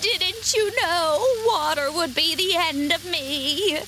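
Over clear background noise, a female-sounding voice does a put-on character voice at an extremely high pitch for a woman and a very slow pace. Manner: wailing.

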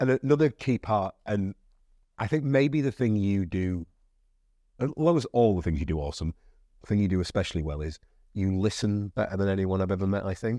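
This man has a dark, mellow tone, fairly low in pitch, and lively intonation at a fairly quick pace. His long, frequent pauses come through in a dry, close sound with no echo. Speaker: podcast host. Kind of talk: casual chat. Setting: studio.

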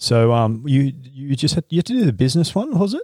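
Talking at a fairly quick pace with an Australian accent, a man is captured in a dry, close sound with no echo on a very clean recording with a silent background. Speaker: podcast host and acupuncturist. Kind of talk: casual interview. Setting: in a clinic.

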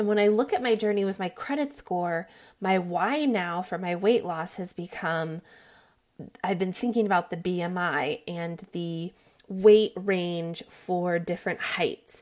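Recorded very cleanly against a silent background, a woman talks at a fairly slow pace in an ordinary speaking voice of medium pitch, with ordinary pitch variation. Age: 30s. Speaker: weight loss podcaster. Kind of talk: personal monologue.

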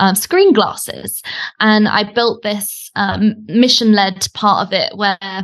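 A woman talks at a very slow pace in a British accent. Her medium-pitched voice keeps a fairly even intonation. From Britain. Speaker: online business coach. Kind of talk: casual interview chat. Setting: audio call, remote.

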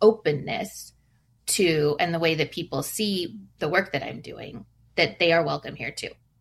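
On a very clean recording with a silent background, a woman with a West Coast accent speaks in a fairly low pitch with a bright, sharp tone. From US Pacific Northwest, Seattle. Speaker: family photographer. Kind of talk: interview.

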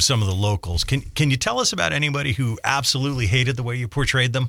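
Ordinary pitch variation runs through a man's plain, everyday voice. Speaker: radio interviewer. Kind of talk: interview.

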